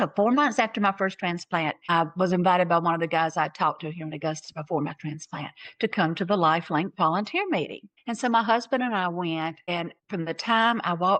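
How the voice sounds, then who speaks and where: Speaking with a Southern US accent, a woman talks at a fairly quick pace with hardly any pauses, her fairly low voice showing ordinary pitch variation. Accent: Southern American. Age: 60s. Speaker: transplant recipient and donation advocate. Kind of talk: personal testimony. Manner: animated.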